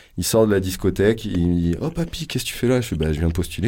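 With a dark, mellow tone, a man with a fairly low pitch talks at a very fast pace. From France, Poitou (Vienne). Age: 30s. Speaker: radio sound engineer. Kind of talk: casual chat. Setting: radio studio.

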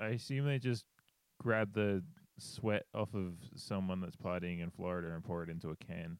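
Recorded very cleanly against a silent background, a man talks at a moderate pace in a very deep, low pitch with ordinary pitch variation and a dry, close sound with no echo. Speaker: podcast host. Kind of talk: casual podcast chat about a film.

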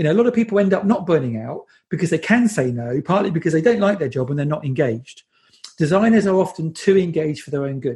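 Talking at a very fast pace with a British accent, a man uses lively intonation and a dark, mellow tone at a high pitch. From England. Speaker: design agency CEO and conference organiser. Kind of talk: interview.

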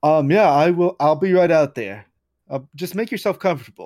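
A man puts on a gruff character voice, pitched high, at a moderate pace. The recording is very clean, with a silent background.

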